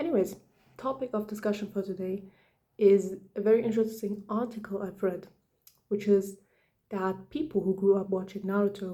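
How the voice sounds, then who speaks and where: A woman whispers at a moderate pace. Her speech has long, frequent pauses. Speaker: video essayist. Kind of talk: casual commentary. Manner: whispering; hesitant, many fillers.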